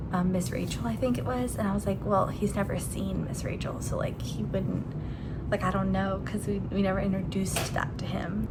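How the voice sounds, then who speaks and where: A woman talks at a moderate pace. Her voice carries audible room echo over noticeable background noise. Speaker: stay-at-home mom vlogger. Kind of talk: casual vlog talk.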